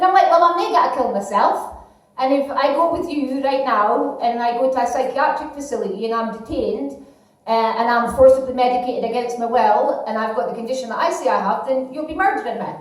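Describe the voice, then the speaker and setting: A high-pitched woman with a Scottish accent speaks with ordinary pitch variation amid noticeable background noise and audible room echo. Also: fairly quick pace. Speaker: comedian. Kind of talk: stand-up. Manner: halting.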